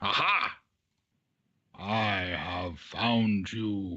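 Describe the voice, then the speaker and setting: A man puts on a character voice, pitched fairly low, with fairly even intonation. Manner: booming, laughing.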